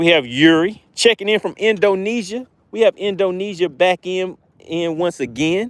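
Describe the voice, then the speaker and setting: A man's high-pitched, animated voice with a slight Southern US accent. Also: ordinary pitch variation, moderate pace. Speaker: fishing YouTuber. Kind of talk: live stream commentary while fishing. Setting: outdoors by a lake.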